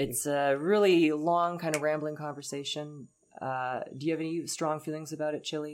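This woman's voice sits very deep and low. She talks at a moderate pace. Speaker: podcast host. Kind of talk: casual chat. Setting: studio. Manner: animated.

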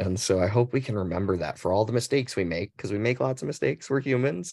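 Over a quiet background, a man with an American accent speaks with ordinary pitch variation. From Arizona. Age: 40s. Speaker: LGBTQ advocacy officer. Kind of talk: panel discussion. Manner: halting.

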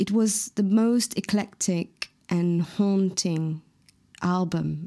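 A woman's fairly low, dark, mellow voice in a Mauritian accent, with fairly even intonation. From Mauritius. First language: Mauritian Creole. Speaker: singer-songwriter. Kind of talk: interview. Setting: video call.

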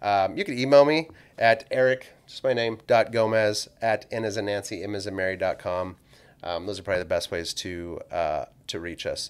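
In an American accent, a man with a normal speaking voice talks at a moderate pace and a fairly low pitch with ordinary pitch variation, on a very clean recording with a silent background. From California, San Joaquin Valley. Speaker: financial planner. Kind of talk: podcast interview.

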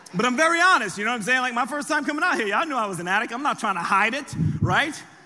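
With an American accent, a man speaks in a raised, projected voice with a bright, sharp tone. His delivery is animated, and the room echo is audible. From US, raised from age seven after birth in France. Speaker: pastor. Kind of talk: sermon.

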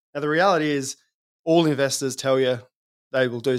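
At a fairly quick pace, a man speaks in an Australian accent. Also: very clean recording, silent background. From South Australia. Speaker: fund manager. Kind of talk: interview.

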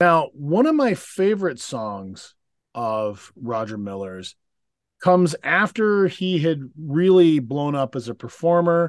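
In a dry, close sound with no echo, a man speaks at a very slow pace with very wide pitch swings. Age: 40s. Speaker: podcast co-host. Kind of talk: casual chat.

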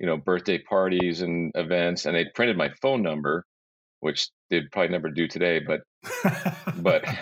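At a moderate pace, a man speaks in a very deep, low voice with ordinary pitch variation. His loudness stays very even, and he takes long, frequent pauses. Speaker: magician and illusionist, podcast guest; former radio broadcaster. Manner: conversational storyteller.

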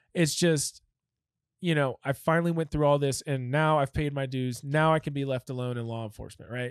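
Talking at a fairly quick pace, a man has a fairly high pitch and fairly even intonation. The recording is very clean with a silent background and a dry, close sound with no echo. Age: 30s. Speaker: former police K9 officer. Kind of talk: casual interview storytelling.

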